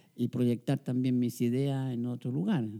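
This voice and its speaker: The man's tone is dark and mellow. He talks very slowly. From Chile. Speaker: sociologist and professor. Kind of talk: interview. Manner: halting.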